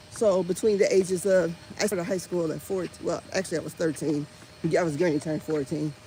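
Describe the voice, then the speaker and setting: Over music in the background, a speaker with an American accent talks fairly quickly in an animated tone, with ordinary pitch variation. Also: woman, fairly low pitch for a woman. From Indiana, US Midwest. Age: 50s. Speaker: vlogger. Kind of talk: casual chat. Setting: outdoors.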